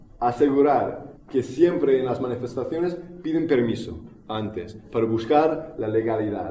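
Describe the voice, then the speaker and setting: Audible room echo and noticeable background noise surround a man's voice. He speaks at a medium pitch with ordinary pitch variation. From United States. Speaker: activist speaker. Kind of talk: public talk. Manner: halting, many fillers and repetitions.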